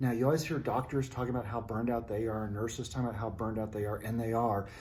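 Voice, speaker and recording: A man's voice, dark and mellow in tone and somewhat breathy, sits at a medium pitch with audible room echo. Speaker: hospital CEO and video presenter. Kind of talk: talking-head advice video. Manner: fast; animated, conversational.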